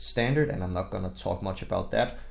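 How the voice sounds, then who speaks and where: With a strong Danish accent, the speaker moves along at a fairly quick pace. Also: man. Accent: very strong Danish. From Denmark. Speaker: gaming content creator. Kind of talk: game tutorial. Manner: casual, with fillers.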